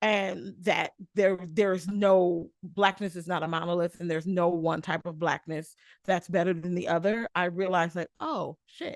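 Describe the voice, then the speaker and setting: A woman with an American accent talks in an ordinary speaking voice at a fairly low pitch and moderate pace, with fairly even intonation and a dry, close sound with no echo. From US Midwest (Michigan). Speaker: podcast guest. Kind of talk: casual chat.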